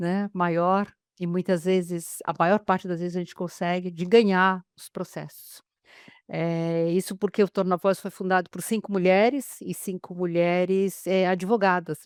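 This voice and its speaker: A woman's flat, monotone delivery at a fairly slow pace, dry and close with no echo, loudness swinging widely. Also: medium pitch for a woman. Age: 60s. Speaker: lawyer, webinar presenter. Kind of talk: webinar introduction. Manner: hesitant, many fillers.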